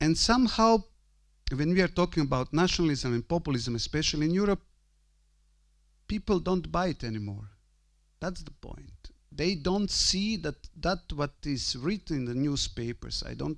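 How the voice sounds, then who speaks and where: Lively intonation marks this man's speech. He has a high pitch and a Croatian accent. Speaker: priest and university rector. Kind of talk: conference talk. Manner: halting.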